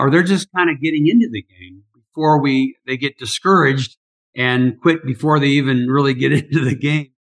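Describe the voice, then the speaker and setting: This is an ordinary speaking voice from a man with a medium pitch and ordinary pitch variation. He talks at a moderate pace in a dry, close sound with no echo. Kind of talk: interview.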